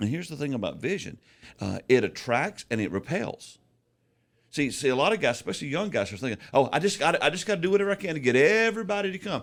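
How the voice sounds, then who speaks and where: In a very clean recording with a silent background, a man talks at a very fast pace with a fairly high pitch, very wide pitch swings and vocal fry. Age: 60s. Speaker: pastor and author. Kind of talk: casual chat. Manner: stammering on word starts.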